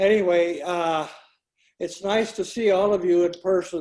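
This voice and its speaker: At a fairly slow pace, a high-pitched man speaks with monotone, flat intonation. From Santa Fe, New Mexico. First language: Greek. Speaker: retired research chemist. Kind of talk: video call introduction. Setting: video call. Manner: halting, many fillers.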